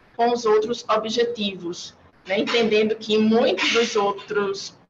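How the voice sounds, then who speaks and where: Against noticeable background noise, a woman talks at a moderate pace with a fairly high pitch. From Brazil, Maceió (Alagoas, Northeast). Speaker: UN agency urban development officer. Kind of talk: panel presentation. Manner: formal.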